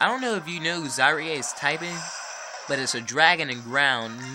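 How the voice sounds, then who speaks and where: Music plays in the background as a man speaks with long, frequent pauses. Audible room echo is present. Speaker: gaming youtuber. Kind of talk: gameplay commentary. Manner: casual, conversational.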